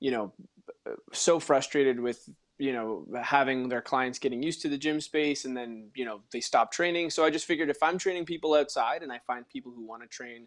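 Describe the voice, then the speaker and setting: A man has a plain, everyday voice with a medium pitch and ordinary pitch variation, speaking at a moderate pace. His loudness swings widely on a very clean recording with a silent background. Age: young. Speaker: personal trainer and actor. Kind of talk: casual chat.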